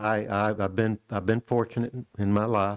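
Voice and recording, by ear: At a fairly quick pace, a man talks with fairly low pitch and fairly even intonation.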